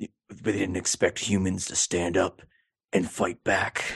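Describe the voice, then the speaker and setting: Using a put-on character voice, a man speaks fairly slowly at a very deep, low pitch. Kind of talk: dramatic, cliched. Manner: stereotypical action-movie delivery.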